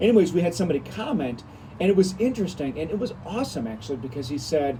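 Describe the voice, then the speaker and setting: Mumbling at a very fast pace, a man speaks with lively intonation. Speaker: pastor. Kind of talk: devotional video talk. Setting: outdoors. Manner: fast, mumbling; louder than usual.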